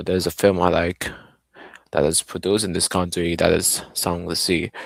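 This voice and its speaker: Monotone, flat intonation in a dry, close sound with no echo. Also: man, very deep, low pitch for a man. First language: Arabic. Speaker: streamer. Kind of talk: live stream gameplay commentary. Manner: halting, self-correcting.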